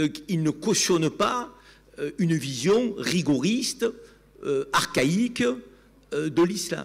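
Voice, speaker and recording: A high-voiced man with a Provençal accent speaks at a very slow pace. His pitch swings very widely, with long, frequent pauses. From Provence, southern France (Avignon). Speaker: TV commentator. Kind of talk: panel debate. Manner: animated.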